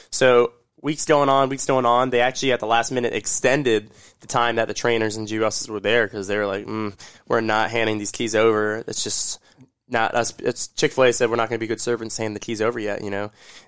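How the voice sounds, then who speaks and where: Captured in a very clean recording with a silent background, the speaker uses an American accent with monotone, flat intonation at a fairly quick pace. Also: man, medium pitch for a man. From Orlando, Florida. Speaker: restaurant leader, grand opening specialist. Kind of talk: casual interview chat.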